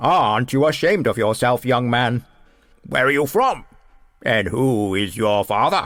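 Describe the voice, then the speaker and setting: A man performs a put-on character voice at a moderate pace. His medium pitch carries lively intonation. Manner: loud, angry, scolding.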